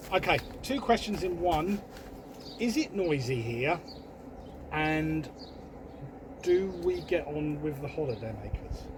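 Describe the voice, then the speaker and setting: A man's fairly high voice with lively intonation, a fairly slow pace, long and frequent pauses, and noticeable background noise. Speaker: caravan vlogger. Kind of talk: casual chat. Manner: loud.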